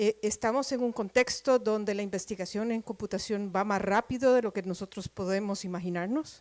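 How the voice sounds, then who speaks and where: Recorded dry and close with no echo, a woman speaks at a fairly slow pace with ordinary pitch variation. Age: middle-aged. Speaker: professor. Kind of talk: lecture. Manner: deliberately slow.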